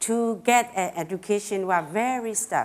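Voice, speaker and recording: In a Burmese accent, a woman speaks very slowly at a fairly high pitch, her intonation lively. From Karen State, Burma. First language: Karen. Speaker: education activist. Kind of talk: public talk. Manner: halting.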